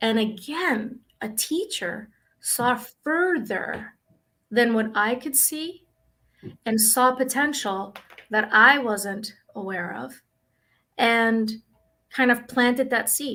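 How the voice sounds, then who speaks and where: A woman speaks in a bright, sharp tone with a Spanish accent, her fairly high pitch showing ordinary variation as she talks at a very slow pace with long, frequent pauses. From Dominican Republic, raised in Brooklyn. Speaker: school psychologist. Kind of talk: interview.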